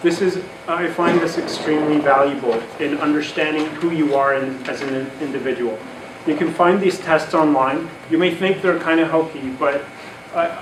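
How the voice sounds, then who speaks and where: Amid noticeable background noise and audible room echo, a man with a non-native accent speaks at a moderate pace in a fairly high pitch with fairly even intonation. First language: not English. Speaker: conference speaker on careers. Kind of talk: talk to an audience.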